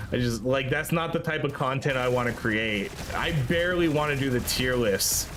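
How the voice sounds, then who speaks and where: Speaking at a moderate pace with very even loudness, a man is heard with audible room echo and noticeable background noise. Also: ordinary pitch variation. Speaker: gaming streamer. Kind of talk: casual chat. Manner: relaxed, laid-back.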